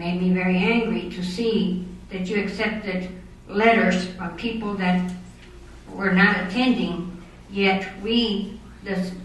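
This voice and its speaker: With an American accent, a woman speaks at a fairly slow pace in a medium pitch, her intonation fairly even but with big swings in loudness, amid noticeable background noise and audible room echo. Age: 60s. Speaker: citizen speaking at city council meeting. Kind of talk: public comment at council meeting. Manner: halting, with repetitions.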